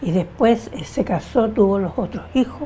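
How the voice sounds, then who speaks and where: Behind the speech, background noise is noticeable. The woman talks at a very slow pace. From Chile. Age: 80s+. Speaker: interviewee, feminist. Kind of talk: oral history interview.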